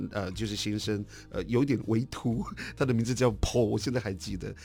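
Vocal fry marks a man's voice as he talks at a very fast pace. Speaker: artist. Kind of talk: interview.

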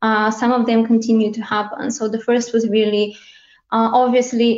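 A woman in a Bulgarian accent speaks at a moderate pace, her fairly high voice monotone and flat. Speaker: head of localization. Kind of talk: panel discussion.

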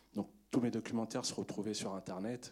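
A man speaks at a fairly quick pace in a dark, mellow tone, his intonation fairly even. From Paris suburbs, Montfermeil. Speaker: film director. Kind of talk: post-screening Q&A.

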